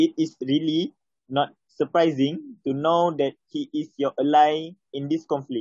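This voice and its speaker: A man with a Malaysian accent speaks at a fairly slow pace in a fairly high pitch, with ordinary pitch variation, a quiet background and a dry sound with no echo. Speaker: English learner. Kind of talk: reading aloud. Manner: halting. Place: home room. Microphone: phone near.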